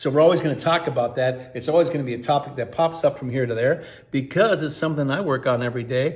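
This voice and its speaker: This man's voice is somewhat breathy. It sits at a medium pitch and shows ordinary pitch variation. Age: 60s. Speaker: sobriety vlogger. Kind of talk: casual vlog monologue.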